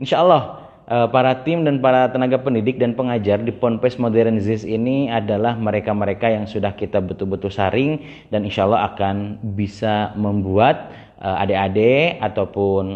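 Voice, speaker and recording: A man with a fairly low voice talks at a moderate pace with ordinary pitch variation. He hardly pauses at all. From West Java, Indonesia (Tasikmalaya). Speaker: Islamic boarding school teacher and live-stream host. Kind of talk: live-stream hosting. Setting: Instagram Live broadcast. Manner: animated.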